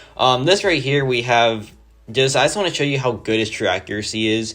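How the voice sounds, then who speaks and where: A man at a medium pitch, moderate pace and ordinary pitch variation, with music in the background. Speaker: gaming youtuber. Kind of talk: gameplay commentary. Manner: casual, many fillers like 'like'.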